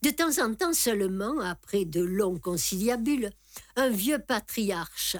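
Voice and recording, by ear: The reader's tone climbs and dips in a lively manner while the text is read aloud in a natural voice.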